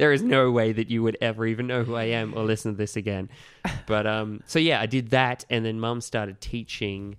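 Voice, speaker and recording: The speaker talks at a fairly quick pace with an Australian accent and fairly even intonation. The recording is very clean, with a silent background. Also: man, medium pitch for a man. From regional New South Wales, Australia. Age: 30s. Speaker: kids' party entertainer. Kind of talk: casual chat. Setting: studio.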